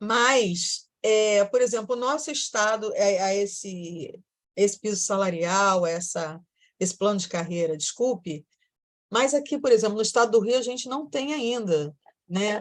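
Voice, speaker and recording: A plain, everyday voice with lively intonation at a fairly slow pace, against a quiet background. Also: woman, medium pitch for a woman. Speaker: teacher. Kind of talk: lecture.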